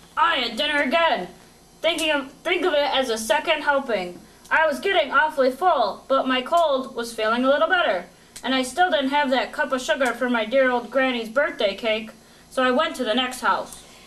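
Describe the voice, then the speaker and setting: The female-sounding voice is a put-on character voice, pitched high. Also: moderate pace. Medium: read story. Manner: casual, self-justifying.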